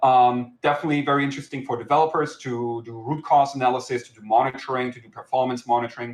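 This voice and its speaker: With a German accent, a man of medium pitch speaks at a very fast pace with hardly any pauses, flat monotone intonation and big swings in loudness. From Germany. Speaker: software company founder and CTO. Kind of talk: conference talk. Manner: hesitant, many filler words.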